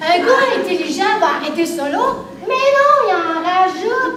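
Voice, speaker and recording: Speaking with a Quebec accent, a woman talks at a fairly slow pace with very wide pitch swings. Noticeable background noise and audible room echo fill the recording. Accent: Québécois French. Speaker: comedian. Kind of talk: stand-up. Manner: animated.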